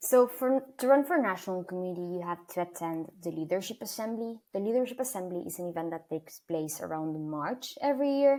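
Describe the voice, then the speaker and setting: A woman with an Argentine accent, fairly low in pitch, with lively intonation. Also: very clean recording, silent background. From Argentina, Buenos Aires. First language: Spanish. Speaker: student leader. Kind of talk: interview.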